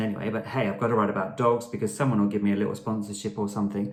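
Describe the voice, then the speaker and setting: A man speaks with a fairly low-pitched voice. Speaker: blogger. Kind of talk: casual vlog tutorial. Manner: fast.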